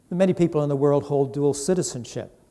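With a dark, mellow tone, a man at fairly high pitch speaks at a moderate pace with ordinary pitch variation. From Ireland. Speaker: guest preacher. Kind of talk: sermon. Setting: church.

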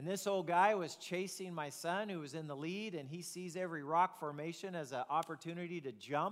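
This man's voice is pitched high. The pitch moves in an ordinary way. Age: 50s. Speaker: pastor. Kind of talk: sermon.

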